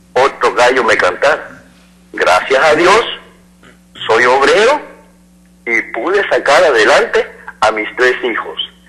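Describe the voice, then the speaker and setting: Long, frequent pauses break up what this man says. His speech is very slow. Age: 60s. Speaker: caller, laborer. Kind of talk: call-in opinion.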